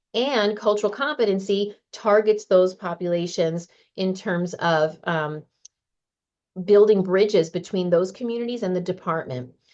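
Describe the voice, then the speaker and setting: A woman's a normal speaking voice, medium in pitch with ordinary variation, at a moderate pace over a quiet background. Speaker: county program manager. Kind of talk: slide presentation at a meeting.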